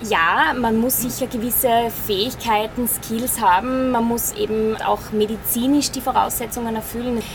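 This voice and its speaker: Noticeable background noise sits behind a woman's voice. Her pitch is fairly high and her intonation fairly even. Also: moderate pace. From Styria, Austria. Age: 30s. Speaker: airline first officer. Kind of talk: interview. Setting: flight simulator.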